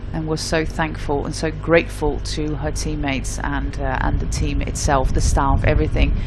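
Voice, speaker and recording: The speech moves at a moderate pace with hardly any pauses. Noticeable background noise is present. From Netherlands. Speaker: cycling commentator. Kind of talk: live commentary.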